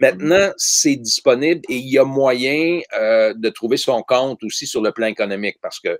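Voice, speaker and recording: A man with an ordinary speaking voice talks at a moderate pace and medium pitch. His pitch varies normally in a very clean recording with a silent background. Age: 60s. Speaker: ecologist, author and teacher. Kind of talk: interview conversation.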